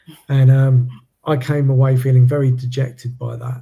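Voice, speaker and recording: A man's somewhat breathy voice with a dark, mellow tone, medium pitch and monotone, flat intonation. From UK. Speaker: podcast host. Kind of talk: interview conversation. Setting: live stream.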